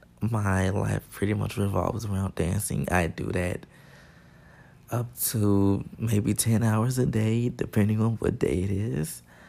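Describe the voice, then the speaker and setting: A man's fairly low voice in a dark, mellow tone, fairly slow, with ordinary pitch variation. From Chicago. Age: 20s. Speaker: podcast host, college dance student. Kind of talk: casual solo monologue. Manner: casual, many filler words.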